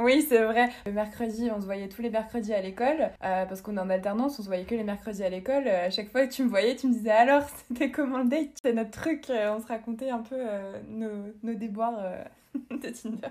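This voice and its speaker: A plain, everyday voice moves along at a fairly quick pace. Its pitch varies in an ordinary way. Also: woman, fairly high pitch for a woman. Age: 20s. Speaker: podcast guest sharing dating-app experience. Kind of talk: casual chat.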